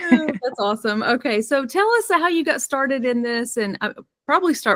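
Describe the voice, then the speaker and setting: A woman with lively intonation is heard in a dry, close sound with no echo, on a very clean recording with a silent background. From US South. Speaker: podcast host, suicide intervention expert. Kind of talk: podcast interview.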